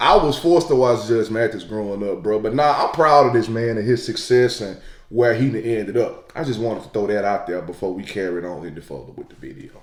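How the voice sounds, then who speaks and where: A man talks at a very fast pace with hardly any pauses and lively intonation. His loudness swings widely over noticeable background noise. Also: medium pitch for a man. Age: 20s. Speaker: YouTube reaction creator. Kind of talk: casual reaction commentary. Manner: animated.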